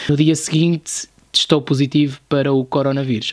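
The pace is moderate. The voice is an unremarkable speaking voice. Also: man. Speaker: podcast host, YouTuber. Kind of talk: casual chat.

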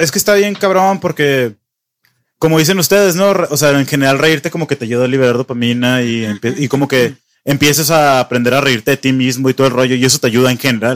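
The man's pitch is medium, with ordinary variation, and he talks at a very fast pace. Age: 20s. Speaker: podcast host. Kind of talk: casual chat.

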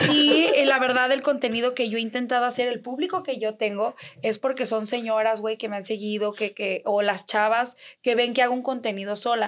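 A high-pitched, animated woman talking at a fairly quick clip over noticeable background noise. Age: 20s. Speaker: influencer. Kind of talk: casual chat.

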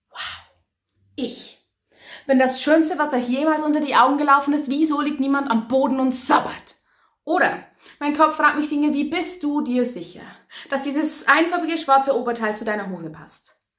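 A woman's high-pitched voice with ordinary pitch variation, at a moderate pace with long, frequent pauses, in audible room echo. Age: 20s. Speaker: poetry slammer and cabaret artist. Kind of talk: poetry slam performance.

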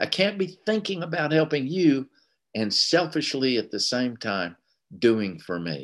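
A man with a Southern US accent speaks at a fairly slow pace in a medium pitch, his voice swinging very widely in pitch over a quiet background. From US South, Tennessee. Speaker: recovery meeting speaker. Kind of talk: testimony.

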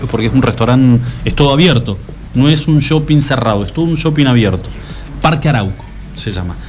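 A man at medium pitch speaks at a fairly quick pace with ordinary pitch variation. Noticeable background noise and audible room echo fill the recording. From Argentina, Santa Cruz (Patagonia). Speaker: radio host. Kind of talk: casual chat.

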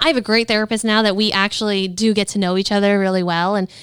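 A woman has an ordinary speaking voice, medium in pitch with fairly even intonation, at a fairly quick pace. The recording is very clean, with a silent background. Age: 30s. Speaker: podcast co-host. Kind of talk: casual chat.

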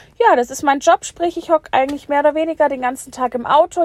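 The woman is heard dry and close-up, without any echo. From Bavaria, Germany. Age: 20s. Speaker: podcaster, delivery driver. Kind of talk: casual monologue. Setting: in a car at work.

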